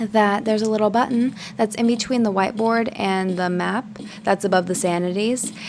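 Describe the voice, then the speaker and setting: A woman with a fairly high voice talks at a moderate pace and with fairly even intonation, noticeable background noise behind her. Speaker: gaming video creator. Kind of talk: gameplay tutorial. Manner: casual with many fillers.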